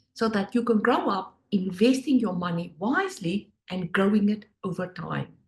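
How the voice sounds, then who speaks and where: A woman with a South African accent at a moderate pace. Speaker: finance education business owner, former Wall Street worker. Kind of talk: presentation.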